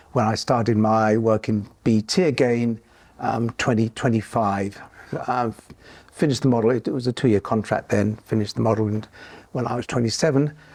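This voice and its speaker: The speaker has a southern English accent. The intonation stays fairly even. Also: man, medium pitch for a man, fairly quick pace. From southern England (Hertfordshire). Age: 70s. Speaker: retired computing engineer. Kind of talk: oral history interview. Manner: halting, many fillers.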